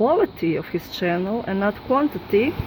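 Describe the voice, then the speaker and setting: With noticeable background noise, a woman with a non-native accent speaks at a moderate pace, her fairly high voice full of lively intonation. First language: not English. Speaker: YouTuber debunking sky videos. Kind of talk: casual video commentary. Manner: halting, hesitant.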